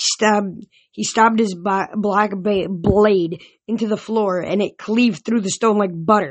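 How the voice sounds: A natural reading voice holds a fairly even intonation while the background stays quiet.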